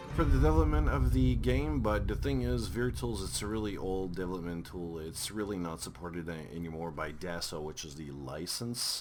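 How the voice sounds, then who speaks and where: The speech moves at a moderate pace with hardly any pauses and lively intonation, over noticeable background noise. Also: man, very deep, low pitch for a man. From Quebec. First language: French. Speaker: game reviewer. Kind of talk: game review commentary. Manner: hesitant, repeats words.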